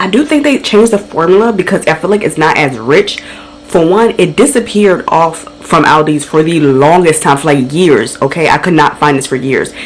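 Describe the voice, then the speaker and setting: A woman with a fairly low pitch talks at a very fast pace, animated and with lively intonation. Noticeable background noise sits behind her. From Caribbean family background. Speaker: lifestyle vlogger. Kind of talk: casual vlog talk. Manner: chatty, animated.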